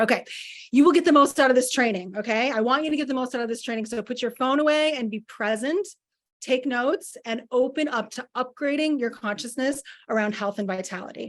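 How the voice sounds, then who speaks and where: A woman talks at a fairly quick pace in an animated tone. Her pitch sits high, with ordinary pitch variation. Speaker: wellness coach. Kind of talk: masterclass presentation.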